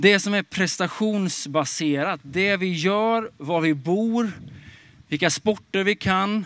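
A man's high-pitched voice at a very slow pace with ordinary pitch variation, on a very clean recording with a silent background. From Småland, Sweden. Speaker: pastor. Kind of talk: sermon. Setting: outdoors in a park.

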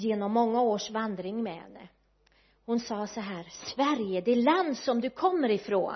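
A somewhat breathy woman speaks at a fairly slow pace with lively intonation. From west coast Sweden, Kungshamn in Bohuslän. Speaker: guest preacher. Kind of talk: sermon.

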